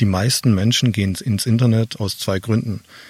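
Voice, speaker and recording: The voice is somewhat breathy, with fairly even intonation at a moderate pace. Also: man. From Swabia, southern Germany. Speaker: online marketing expert and keynote speaker. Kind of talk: interview, explaining concepts. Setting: outdoors in a garden.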